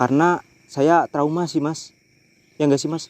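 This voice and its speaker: A man with a Javanese accent speaks at a fairly slow pace with fairly even intonation. The sound is dry and close, with no echo. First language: Javanese (speaking Indonesian). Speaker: horror vlogger. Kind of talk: night ghost-hunting vlog. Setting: outdoors on a bridge at night.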